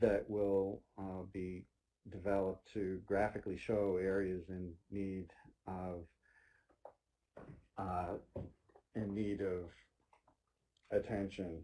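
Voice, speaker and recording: A man speaks at a very slow pace with long, frequent pauses and big swings in loudness. His voice sits fairly low, with a dark, mellow tone. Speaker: state transportation agency presenter. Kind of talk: webinar presentation. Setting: online webinar.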